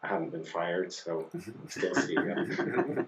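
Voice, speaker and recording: A man with a slight Scottish accent. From Scotland. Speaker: company CEO. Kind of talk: interview. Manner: hesitant, many fillers.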